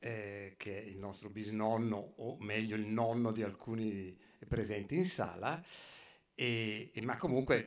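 Very slow speech from a man, fairly low in pitch, with ordinary pitch variation. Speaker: speaker at exhibition opening, photographer's descendant; speaker. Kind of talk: public talk. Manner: halting, many fillers. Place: hall. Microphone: camera far.

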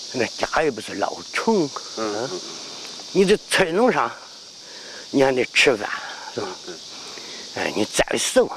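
With a Henan accent, a man speaks fairly slowly at a fairly high pitch, with very wide pitch swings, big swings in loudness and long, frequent pauses, over noticeable background noise. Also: dry sound with no echo. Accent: Henan dialect Mandarin. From Henan, China (Dengfeng); Henan, China. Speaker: martial arts grandmaster. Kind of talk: interview. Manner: halting. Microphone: lapel.

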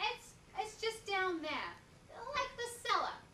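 A woman speaks in a raised, projected voice at a very slow pace. Audible room echo and light background noise are present. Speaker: performer. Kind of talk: stage monologue performance. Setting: stage with audience. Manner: animated, comic, coy character voice with laughs; halting, hesitant, flustered, stammering repeats. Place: stage. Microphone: camera far.

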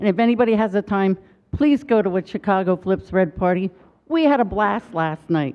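A woman with an ordinary speaking voice talks at a fairly quick pace and medium pitch, with lively intonation and very even loudness. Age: 60s. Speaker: public commenter. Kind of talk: public comment at city council.

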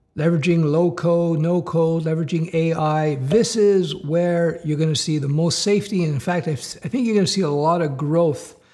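A man speaks in a high voice with a dark, mellow tone, barely pausing, against a quiet background. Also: ordinary pitch variation, moderate pace. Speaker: career coach for developers. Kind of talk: commentary. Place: home room.

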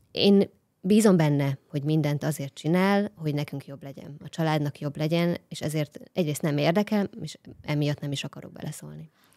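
A woman with very deep, low pitch and a dark, mellow tone, moderate pace, ordinary pitch variation, big swings in loudness, and a quiet background. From Hungary. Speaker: guest, wife of smart home enthusiast. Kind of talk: casual chat. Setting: studio. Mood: warm, relaxed. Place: studio. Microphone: studio mic.

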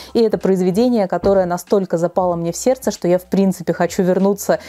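A woman's dark, mellow voice at a very fast pace. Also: fairly even intonation, quiet background. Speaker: book blogger. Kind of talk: casual vlog chat. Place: home room. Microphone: lapel.

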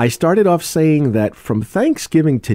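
At a moderate pace, a man speaks in a dark, mellow tone, the sound dry with no echo and the background quiet. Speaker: radio host. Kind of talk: radio show hosting. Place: studio.

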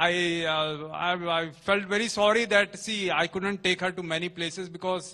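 A man uses a raised, projected voice with a bright, sharp tone at a moderate pace. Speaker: pastor. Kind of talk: sermon. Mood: warm, occasionally laughing. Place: church. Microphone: handheld.

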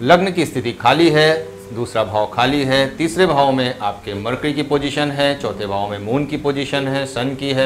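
Speaking at a moderate pace with ordinary pitch variation, a man is heard over light background noise. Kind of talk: lecture. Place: classroom.

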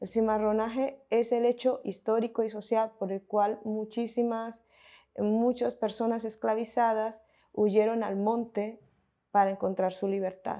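Against a quiet background, a woman speaks in a monotone, flat intonation with a dark, mellow tone. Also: fairly slow pace. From Colombia, Montes de María (Caribbean region); Colombia. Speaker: researcher and film commentator; interviewee. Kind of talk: interview. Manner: halting, with fillers and self-corrections. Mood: calm, thoughtful.

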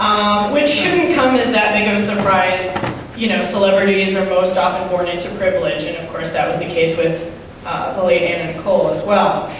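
The speech moves at a moderate pace, with strong room echo and noticeable background noise. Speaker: stand-up comedian. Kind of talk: stand-up comedy set with an absurd celebrity story and acted-out sketch voices. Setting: stage with audience, live comedy show. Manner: halting, with frequent ums and throat clearing. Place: stage.

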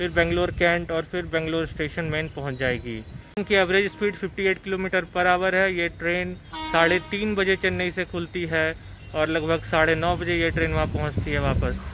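Speaking at a moderate pace with fairly even intonation, a man with a high pitch is heard over light background noise, the sound dry with no echo. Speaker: travel vlogger. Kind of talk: casual vlog chat. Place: station. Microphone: phone near.

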